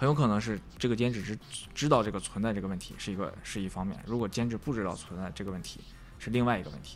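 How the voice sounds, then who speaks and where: Talking at a very fast pace, a man with a fairly low pitch and ordinary pitch variation is heard over audible room echo. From Northeast China. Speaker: visual effects compositor. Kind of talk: casual interview chat.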